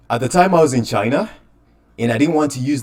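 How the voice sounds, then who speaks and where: A man is speaking. His voice has vocal fry. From Uganda. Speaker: crypto enthusiast, podcast guest. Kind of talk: casual interview. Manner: hesitant, many fillers.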